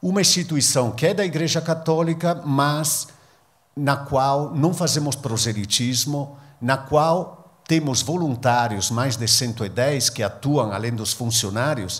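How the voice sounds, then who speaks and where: Somewhat breathy, this man speaks at a fairly high pitch with ordinary pitch variation. His pace is fairly slow. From northern Italy, near Venice. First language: Italian (speaking Portuguese). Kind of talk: public talk. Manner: halting.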